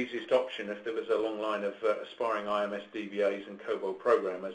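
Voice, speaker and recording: This man talks at a very fast pace. He has an English accent. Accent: clear English. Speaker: business development director presenting. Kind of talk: webinar presentation. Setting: online webcast. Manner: halting, many fillers.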